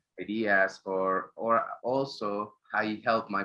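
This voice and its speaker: A man speaks with a Spanish accent. His intonation is fairly even. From Mexico. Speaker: graphic designer. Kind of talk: interview. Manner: halting.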